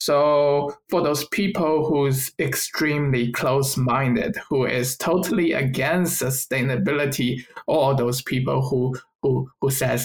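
Here a man with a Chinese accent speaks at a fairly high pitch. His pitch varies in an ordinary way. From China. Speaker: environmental science graduate, podcast co-host. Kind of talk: casual chat.

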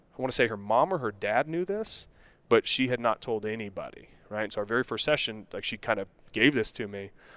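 An unremarkable speaking voice with an American accent at a fairly quick pace, ordinary pitch variation, and a dry, close sound with no echo in a very clean recording with a silent background. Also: man. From Colorado, US. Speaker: men's health coach. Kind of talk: casual interview. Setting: studio.

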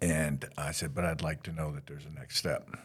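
A man speaks at a very deep, low pitch with vocal fry. His intonation stays fairly even. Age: 60s. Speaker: hospital system CEO. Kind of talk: casual interview.

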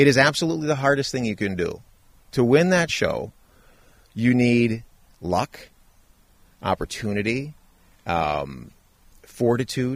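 With an American accent, the speaker moves at a fairly slow pace with lively intonation and long, frequent pauses. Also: man, medium pitch for a man. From Wisconsin. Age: 40s. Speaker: reality TV contestant. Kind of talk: interview conversation. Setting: outdoors in a backyard.

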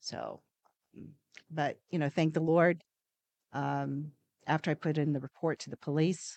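A woman speaks at a moderate pace with a very deep, low pitch and vocal fry, her intonation fairly even, in a dry, close recording with no echo and a quiet background. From New Zealand. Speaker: podcast host's mother. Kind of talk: casual interview. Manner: halting, many fillers.

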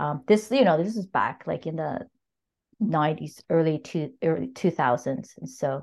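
Against a quiet background, a woman speaks fairly slowly in a very deep, low voice. Her intonation is lively. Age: 50s. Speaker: novelist. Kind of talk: casual chat. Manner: halting.

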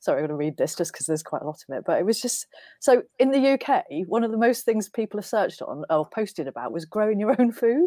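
Very fast with very wide pitch swings and big swings in loudness, the voice has a dark, mellow tone in a dry, close, echo-free recording that is very clean with a silent background. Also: woman, fairly high pitch for a woman. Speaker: social media marketer. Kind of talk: casual chat.

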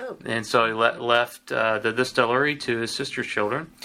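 The speaker has a Tennessee accent. The pace is moderate. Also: man. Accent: US Southern (Tennessee). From Tennessee (Lynchburg). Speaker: whiskey distiller. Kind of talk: interview. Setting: distillery office.

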